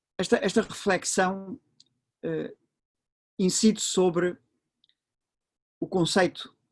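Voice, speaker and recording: A high-pitched man in a European Portuguese accent, at a very slow pace with long, frequent pauses, the sound dry and close with no echo. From Portugal. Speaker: professor. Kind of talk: lecture. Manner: halting, many fillers.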